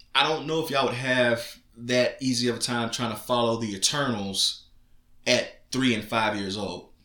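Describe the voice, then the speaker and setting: With a bright, sharp tone and medium pitch, a man speaks at a moderate pace with fairly even intonation, and audible room echo surrounds his voice. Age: 30s. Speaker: podcast co-host, father. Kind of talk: casual chat.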